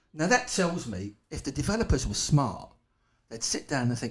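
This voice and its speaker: A somewhat breathy man with a strong East London accent at a moderate pace. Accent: strong local East London. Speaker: wildlife conservation campaigner. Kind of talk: podcast interview. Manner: animated.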